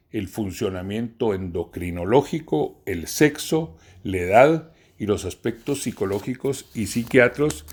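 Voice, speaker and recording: The recording is very clean with a silent background, and a man with a normal speaking voice talks at a fairly slow pace in a medium pitch with lively intonation. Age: 60s. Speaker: professor. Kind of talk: lecture. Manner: formal.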